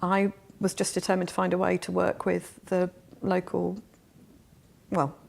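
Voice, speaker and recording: A woman talks at a moderate pace, with long, frequent pauses. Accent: southern English. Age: 40s. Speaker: refugee charity worker, former teacher. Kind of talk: interview.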